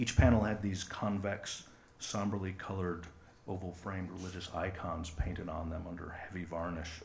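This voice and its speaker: A man in an American accent with a very deep, low pitch, somewhat breathy and monotone, at a moderate pace with audible room echo. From West Michigan, US. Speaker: live storyteller. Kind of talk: personal story reading on stage. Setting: stage with audience.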